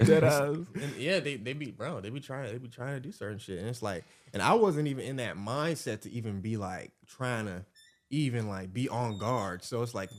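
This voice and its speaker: Speaking with an American accent, a man uses a plain, everyday voice at a medium pitch and moderate pace, with lively intonation. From US South, Atlanta, Georgia. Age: 20s. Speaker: YouTuber. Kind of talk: casual chat.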